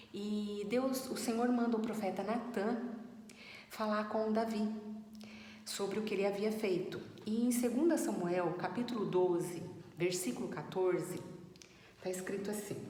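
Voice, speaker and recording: A woman at a fairly slow pace, with ordinary pitch variation and long, frequent pauses, amid audible room echo and noticeable background noise. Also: medium pitch for a woman. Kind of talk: Bible teaching talk. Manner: trying to speak louder; halting with fillers. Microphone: no microphone, voice too quiet.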